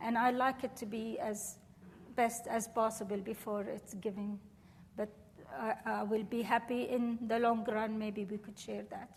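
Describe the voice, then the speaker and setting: A woman's fairly high, somewhat breathy voice with an Arabic accent, fairly even intonation and a fairly slow pace. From Syria, Damascus. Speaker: professor. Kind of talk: lecture Q&A.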